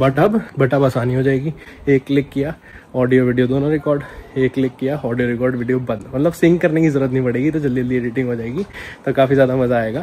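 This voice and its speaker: Noticeable background noise sits under a man speaking with fairly even intonation. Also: medium pitch for a man, moderate pace. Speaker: vlogger. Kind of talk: casual vlog talk to camera. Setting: on a motorbike, helmet camera. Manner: casual, chatty.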